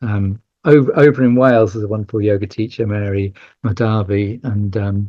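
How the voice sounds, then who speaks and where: With fairly even intonation, a man speaks in a voice that is somewhat breathy. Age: 60s. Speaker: yoga teacher and charity head. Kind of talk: podcast interview. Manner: halting, many fillers and repeats.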